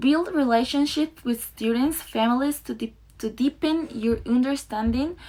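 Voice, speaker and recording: A woman speaks with a non-native accent at a fairly slow pace, her pitch varying in an ordinary way. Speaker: student teacher. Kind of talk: presentation. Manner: halting.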